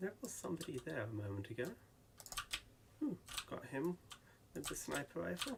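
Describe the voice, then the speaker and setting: Against noticeable background noise, a man with a fairly high pitch and very wide pitch swings talks at a fairly quick pace, broken by long, frequent pauses. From England. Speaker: gaming YouTuber. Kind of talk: gameplay commentary. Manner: hesitant, many ums.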